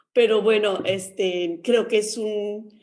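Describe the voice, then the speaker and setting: With an unremarkable speaking voice, a woman talks at a fairly slow pace, her pitch medium with ordinary variation. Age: 60s. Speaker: nurse and sex educator, book author. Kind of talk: radio interview.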